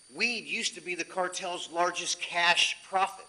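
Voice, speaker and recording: A loud male voice, high-pitched for a man, at a fairly slow pace with fairly even intonation over noticeable background noise. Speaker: chief deputy sheriff. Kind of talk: presentation to city council. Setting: city council meeting.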